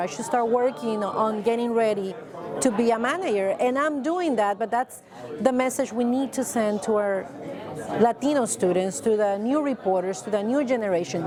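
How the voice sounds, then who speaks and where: In a Spanish accent, a woman talks fairly quickly at a fairly high pitch, with audible room echo and crowd noise in the background. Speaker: TV news anchor. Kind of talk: interview.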